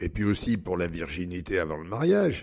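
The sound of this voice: A man puts on a character voice, low-pitched with vocal fry. He talks at a fairly quick pace, and his pitch swings widely. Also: slightly mellow tone.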